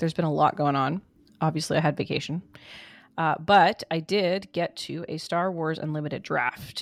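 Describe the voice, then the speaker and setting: With an ordinary speaking voice, a woman talks at a fairly low pitch and a moderate pace on a very clean recording with a silent background. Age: 40s. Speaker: podcast co-host. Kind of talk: casual chat.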